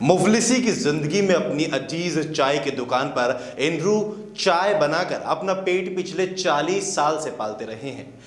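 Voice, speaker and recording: The speech runs on with hardly any pauses against noticeable background noise. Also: man, fairly high pitch for a man. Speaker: news reporter. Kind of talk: TV news voice-over narration.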